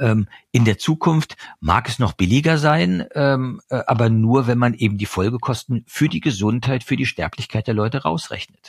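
Recorded very cleanly with a silent background and a dry, close sound with no echo, a man talks at a moderate pace and medium pitch, somewhat breathy, with lively intonation. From eastern Germany. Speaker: journalist and author. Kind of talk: interview. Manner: hesitant, many fillers.

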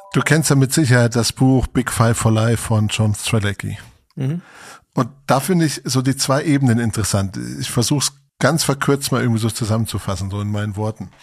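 A man talks at a fairly quick pace, his voice somewhat breathy. His pitch is medium, with ordinary variation. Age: 40s. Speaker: podcast host. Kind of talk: casual chat.

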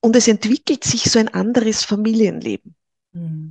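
At a very slow pace, a woman speaks with a fairly high pitch, ordinary pitch variation and a somewhat breathy, dark, mellow tone. The sound is dry and close with no echo. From Upper Austria (Linz). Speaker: Human Design trainer. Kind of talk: interview.

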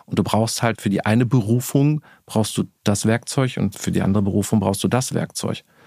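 A man talks at a fairly quick pace in a fairly low, dark, mellow voice with fairly even intonation, the sound dry and close with no echo and the background silent in a very clean recording. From Ruhr area, Bochum. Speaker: marketing executive. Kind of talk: interview.

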